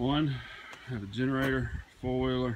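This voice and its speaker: A man speaks against noticeable background noise. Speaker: rural DIY vlogger. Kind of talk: casual vlog chat. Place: open country. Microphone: phone near.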